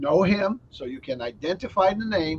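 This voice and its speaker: A man speaks at a moderate pace, his intonation lively. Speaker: software company host. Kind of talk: company video chat.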